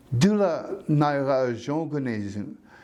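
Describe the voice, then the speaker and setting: There is audible room echo around a man speaking at a fairly high pitch. His intonation is lively. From Canada, Northwest Territories (First Nation reserve near Hay River). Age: 60s. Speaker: community elder. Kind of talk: personal storytelling interview.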